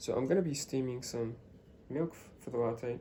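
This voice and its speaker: A man whispering at a moderate pace. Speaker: coffee machine seller. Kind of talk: product demonstration. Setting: at home, early morning. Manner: hesitant, many fillers.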